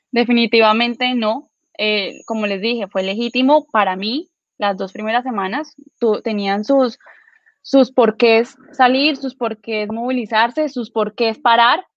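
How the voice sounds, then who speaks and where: A woman has an unremarkable speaking voice at a fairly high pitch. She talks at a fairly slow pace with fairly even intonation. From Villavicencio, Colombia. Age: 20s. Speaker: law student and political activist. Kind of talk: political panel discussion.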